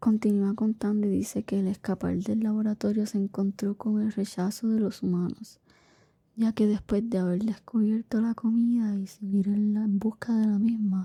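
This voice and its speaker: A soft-spoken voice whispers at a moderate pace. The recording is very clean, with a silent background. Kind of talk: bedtime story narration. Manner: whispered, soft-spoken.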